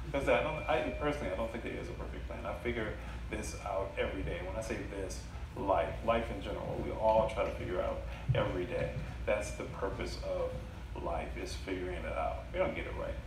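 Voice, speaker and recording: Noticeable background noise and audible room echo surround a man as he speaks. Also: fairly quick pace. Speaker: storyteller. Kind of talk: live storytelling / stand-up style comedy set with audience. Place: stage. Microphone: camera far.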